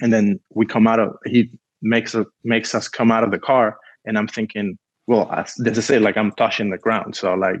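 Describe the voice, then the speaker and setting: A man with a Spanish accent, at a moderate pace. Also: medium pitch for a man, dry, close sound with no echo, quiet background. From Cuba. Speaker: film producer. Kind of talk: casual interview storytelling. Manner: animated.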